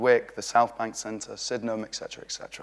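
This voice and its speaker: With a British accent, a man talks at a very fast pace and a medium pitch. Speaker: street art organiser giving a talk. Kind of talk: conference talk. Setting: stage with audience. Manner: animated.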